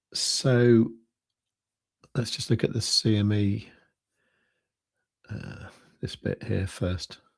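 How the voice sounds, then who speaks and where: A soft-spoken man talks at a very slow pace with a fairly low pitch, fairly even intonation, and long, frequent pauses. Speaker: crypto trading livestreamer. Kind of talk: casual livestream commentary. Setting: livestream at home at night. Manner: quiet, soft-spoken.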